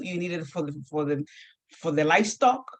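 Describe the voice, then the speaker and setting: A woman speaks with a Kenyan accent. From Kenya, rural village. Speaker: nurse and health advocate, author. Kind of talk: interview. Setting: video call.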